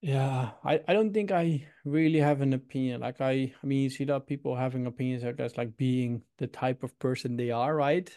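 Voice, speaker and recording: In a Dutch accent, a man talks at a fairly quick pace with hardly any pauses, his dark, mellow tone sitting at a medium pitch with ordinary pitch variation over a quiet background. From Netherlands, Utrecht. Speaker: startup founder. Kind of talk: interview. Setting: video call.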